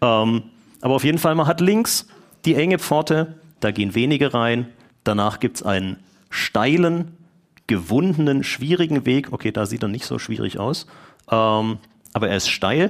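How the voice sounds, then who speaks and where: On a very clean recording with a silent background, a man speaks at a moderate pace with lively intonation and long, frequent pauses. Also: medium pitch for a man. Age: 40s. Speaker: lay preacher. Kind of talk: sermon.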